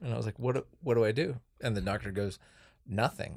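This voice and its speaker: A man with a plain, everyday voice at a fairly quick pace. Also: very clean recording, silent background. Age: 30s. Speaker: archaeology podcast host. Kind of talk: casual chat.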